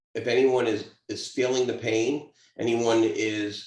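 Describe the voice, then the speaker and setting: This man talks with a Brooklyn accent at a medium pitch, sounding somewhat breathy. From Brooklyn, New York. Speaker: interviewer, veteran-focused business founder. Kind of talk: interview.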